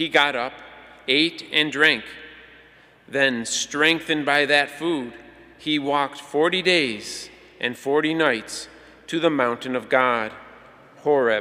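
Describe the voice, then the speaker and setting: A man's fairly high voice, very slow and fairly even in intonation, broken by long, frequent pauses. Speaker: lector. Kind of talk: reading aloud. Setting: church. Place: church. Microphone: podium.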